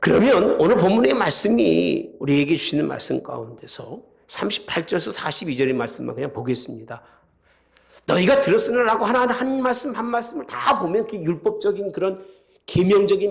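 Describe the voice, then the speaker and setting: Speaking at a fairly quick pace with very wide pitch swings, a high-pitched man is heard with audible room echo. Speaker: pastor. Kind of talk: sermon.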